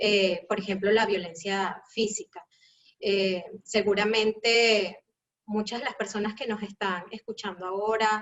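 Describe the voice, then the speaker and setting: Using a Venezuelan accent, a woman speaks at a fairly slow pace in a medium pitch, her intonation monotone and flat. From Caracas, Venezuela. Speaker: educator. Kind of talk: live panel talk.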